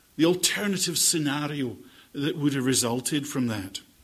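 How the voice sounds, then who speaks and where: A man speaks in a Scottish accent with vocal fry and a fairly high pitch. His pitch swings very widely at a moderate pace, with audible room echo. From Scotland. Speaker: bible teacher. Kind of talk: lecture. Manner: formal.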